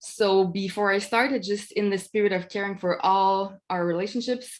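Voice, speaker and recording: A woman with a non-native accent speaks at a fairly quick pace. Her intonation is fairly even, and the background is quiet. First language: not English. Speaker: academic researcher. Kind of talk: webinar presentation. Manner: halting, many fillers.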